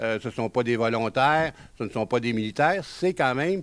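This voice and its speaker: Captured in a very clean recording with a silent background, a man in a Quebec accent speaks at a moderate pace with medium pitch and ordinary pitch variation. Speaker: genealogy author and lecturer. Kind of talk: lecture. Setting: conference room with audience. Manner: hesitant, many filler sounds.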